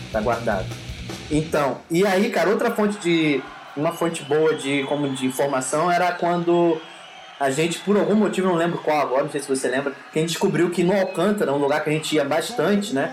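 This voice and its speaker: A fairly high-pitched man at a fairly quick pace with ordinary pitch variation, plus audible room echo and noticeable background noise. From Rio de Janeiro, Brazil. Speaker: music podcast host. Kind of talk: casual chat.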